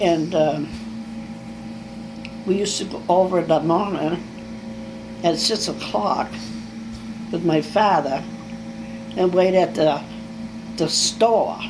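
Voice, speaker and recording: A woman speaks very slowly in a New England accent, with long, frequent pauses. Her pitch sits fairly low and her intonation is lively, over noticeable background noise. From Danbury, New Hampshire. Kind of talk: interview answer. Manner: casual, reminiscing.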